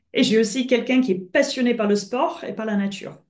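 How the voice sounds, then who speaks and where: With a British accent, a woman talks at a moderate pace with ordinary pitch variation against a quiet background. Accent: British-tinged French. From France and Britain. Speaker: coach. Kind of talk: webinar presentation. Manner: hesitant, many filler sounds.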